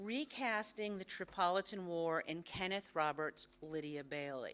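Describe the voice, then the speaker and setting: Her pitch fairly low, a woman talks at a fairly slow pace with ordinary pitch variation. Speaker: history professor. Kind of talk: lecture.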